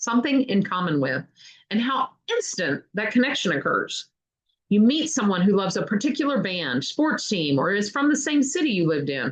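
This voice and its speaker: A woman with a slight Kentucky accent talks at a moderate pace with a fairly high pitch. Her pitch swings very widely, and vocal fry shows up. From Kentucky, US South. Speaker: book reader, channel host. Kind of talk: reading aloud.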